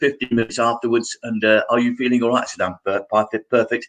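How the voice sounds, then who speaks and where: A male voice pitched in the medium range. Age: 70s. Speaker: actor. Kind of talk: interview.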